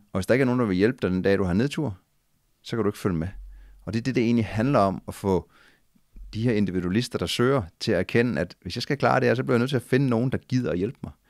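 A man with a fairly low pitch talks at a very fast pace with lively intonation, in a dry sound with no echo against a quiet background. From Denmark. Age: 40s. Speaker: adventurer and former soldier. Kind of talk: casual interview. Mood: calm, reflective. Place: home room. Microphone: studio mic.

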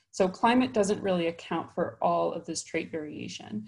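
A woman's somewhat breathy, fairly low voice at a moderate pace against a quiet background. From Chicago, US Midwest. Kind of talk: conference talk. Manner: frequent filler words (um, uh). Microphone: webcam.

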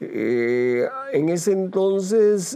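A man speaks. His tone is dark and mellow. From Costa Rica, Heredia province; Costa Rica. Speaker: retired radio journalist. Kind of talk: interview. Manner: hesitant with frequent fillers. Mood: reflective, calm. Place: studio. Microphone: lapel.

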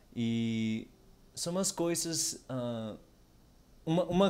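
A man with a Spanish accent speaks at a very slow pace, his dark, mellow tone carrying ordinary pitch variation. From Canary Islands, Spain. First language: Spanish (speaking Portuguese). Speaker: language learner; podcast guest. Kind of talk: casual chat. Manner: halting. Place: home room. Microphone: studio mic.

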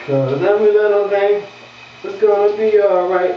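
A high-pitched man's voice with audible room echo and light background noise. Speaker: comedic actor playing a character. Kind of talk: comedic skit monologue.

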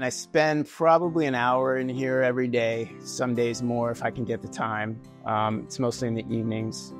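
Clear music plays behind a man who speaks at a moderate pace. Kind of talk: interview answer. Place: home room. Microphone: lapel.

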